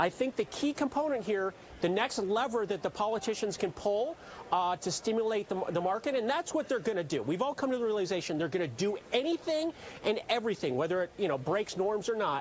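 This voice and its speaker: Over noticeable background noise, a man speaks fairly quickly with a slight Canadian accent at a high pitch. His pitch swings very widely while his loudness stays very even. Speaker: chief market strategist. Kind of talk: TV interview.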